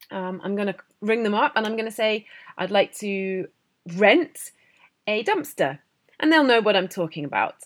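A woman speaks with a British accent at a medium pitch. Her pace is moderate and her intonation lively. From Britain. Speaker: English teacher podcaster. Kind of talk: educational monologue. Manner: hesitant, many fillers.

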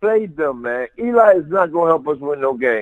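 Lively intonation marks this man's fairly high pitch in a normal speaking voice. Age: 50s. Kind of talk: casual chat.

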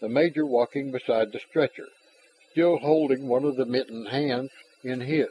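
This recording is simply plain reading aloud.

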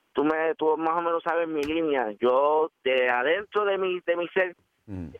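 A man talks fairly slowly, his fairly high voice showing ordinary variation in pitch. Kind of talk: phone-in call on talk radio.

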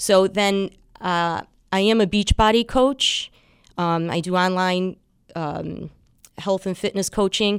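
In a very clean recording with a silent background, a woman speaks at a medium pitch and a very slow pace with fairly even intonation and long, frequent pauses. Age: 50s. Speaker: fitness instructor and bodybuilding competitor. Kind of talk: radio interview.

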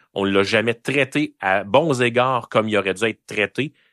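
Bright and sharp in tone, this voice moves at a fairly slow pace with ordinary pitch variation. The sound is dry and close with no echo, over a quiet background. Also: man. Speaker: political commentator. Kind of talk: heated debate.

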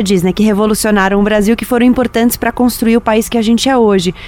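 Against noticeable background noise, a woman speaks at a fairly high pitch with fairly even intonation. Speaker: radio host and podcast producer. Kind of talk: moderated panel discussion.

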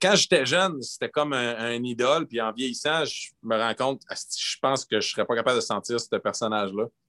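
A man talks in a bright, sharp tone. The sound is dry and close, with no echo. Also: medium pitch for a man, ordinary pitch variation, moderate pace. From northern Quebec (Gagnon, Fermont). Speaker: bassist and singer. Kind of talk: casual chat.

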